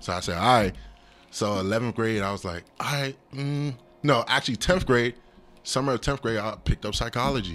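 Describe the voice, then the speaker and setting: A man with an American accent at medium pitch, fairly quick pace and ordinary pitch variation, music playing in the background. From US, Nigerian parents. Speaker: drummer and counselor. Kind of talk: casual chat.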